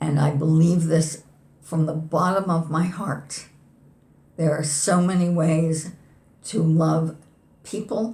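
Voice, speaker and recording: A woman speaks very slowly in a fairly low voice that is somewhat breathy, with a dark, mellow tone. She leaves long, frequent pauses. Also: fairly even intonation. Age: 70s. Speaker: poet. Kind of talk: interview conversation.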